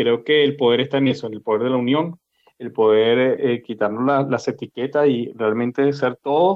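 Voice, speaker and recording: This man talks at a moderate pace, medium in pitch. He has an ordinary speaking voice. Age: 50s. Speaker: podcast host. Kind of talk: casual chat.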